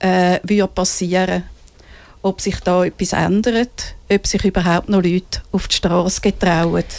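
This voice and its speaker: A woman at a fairly slow pace, with monotone, flat intonation and very even loudness. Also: medium pitch for a woman. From Switzerland, Winterthur. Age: 60s. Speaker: feminist activist. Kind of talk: interview. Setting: studio. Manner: reads prepared statements.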